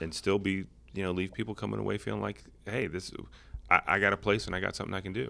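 A man speaks with a bright, sharp tone. Vocal fry runs through his voice. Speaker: city manager and podcast co-host. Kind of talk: casual chat. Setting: studio.

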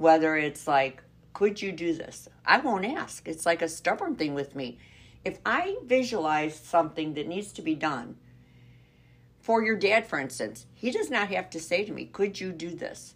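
In a normal speaking voice, a woman with a fairly low pitch talks at a moderate pace, with lively intonation and big swings in loudness. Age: 60s. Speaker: podcast co-host, grandmother. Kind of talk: casual chat.

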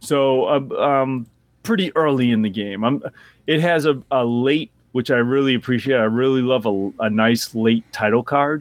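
At a medium pitch, a man speaks with a slight Boston accent and ordinary pitch variation. His pace is moderate and his loudness very even. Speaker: podcast co-host. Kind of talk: casual chat.

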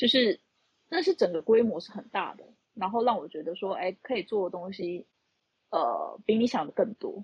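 Somewhat breathy and fairly high-pitched, a woman talks at a moderate pace, her pitch swinging very widely and her loudness rising and falling a lot. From Taiwan, Tainan. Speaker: accountant. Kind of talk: casual chat. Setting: online audio room.

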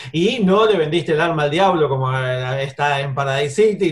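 At a fairly high pitch, a man with an Argentine accent sounds somewhat breathy, with ordinary pitch variation. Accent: Argentine Spanish (voseo). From Argentina. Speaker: film radio show host. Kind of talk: interview. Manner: casual, some hesitations.

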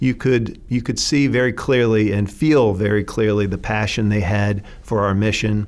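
Using an American accent, a man talks at a moderate pace and fairly low pitch with fairly even intonation. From eastern US (North Carolina, Virginia, Chester County PA). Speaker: nonprofit chief executive. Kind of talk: interview. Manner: hesitant, many fillers.

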